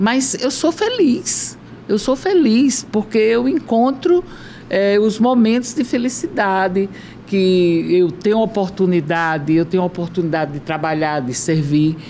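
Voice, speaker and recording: A woman at a medium pitch making very wide pitch swings, fairly slow in pace, with noticeable background noise. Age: 70s. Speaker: former politician. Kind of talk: casual chat.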